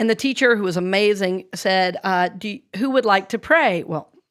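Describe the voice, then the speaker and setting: A woman with an American accent on a very clean recording against a silent background. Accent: Southern drawl, largely unlearned. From US South, North Carolina and Georgia. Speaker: minister and speaker. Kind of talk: casual chat. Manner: halting.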